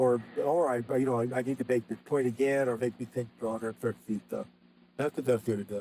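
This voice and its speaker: At a medium pitch, the man rattles through his words very fast. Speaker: copywriter. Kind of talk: interview.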